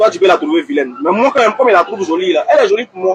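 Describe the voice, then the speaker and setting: Over crowd noise, a man talks loudly and very fast at a high pitch, his voice making very wide pitch swings. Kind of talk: heated debate.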